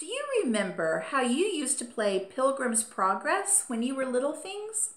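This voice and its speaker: A put-on character voice moves at a moderate pace, with very wide pitch swings and big swings in loudness. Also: woman, high pitch for a woman. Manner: cheery, warm.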